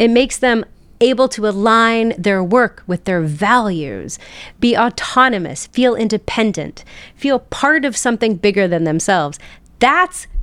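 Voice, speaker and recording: The speaker has a plain, everyday voice with an American accent. The pace is fairly slow and the intonation lively. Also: woman. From West Virginia, South Charleston. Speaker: public health professor and entrepreneur. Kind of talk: podcast interview.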